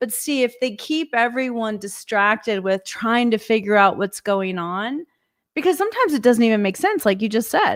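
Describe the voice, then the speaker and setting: With an unremarkable speaking voice, a woman talks at a moderate pace, fairly high in pitch with ordinary variation. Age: 60s. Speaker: podcast guest. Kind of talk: casual chat.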